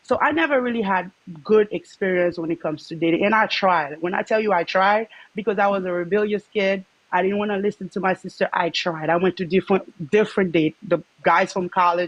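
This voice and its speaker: With a Haitian accent, a woman talks at a fairly quick pace in a dry, close sound with no echo. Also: medium pitch for a woman, ordinary pitch variation. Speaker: livestream guest sharing dating experiences. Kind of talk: personal testimony in casual chat. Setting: livestream call-in.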